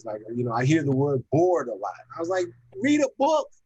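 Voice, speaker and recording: Lively intonation carries a man's dark, mellow, somewhat breathy voice. He talks at a fairly quick pace in a dry, close sound with no echo. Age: 60s. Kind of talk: casual chat. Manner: halting.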